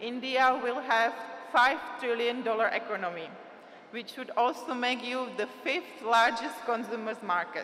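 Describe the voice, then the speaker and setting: Speaking with a non-native accent, a woman talks slowly at a high pitch with ordinary pitch variation. Room echo is audible, along with noticeable background noise. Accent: foreign. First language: Czech. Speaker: trade agency representative. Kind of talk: conference speech. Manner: halting.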